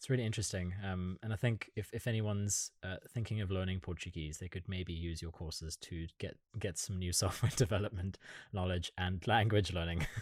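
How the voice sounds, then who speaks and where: Very deep and low, a man's somewhat breathy voice moves at a fairly quick pace with fairly even intonation. The recording is very clean, with a silent background. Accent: German. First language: German. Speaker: podcast interviewer. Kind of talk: interview.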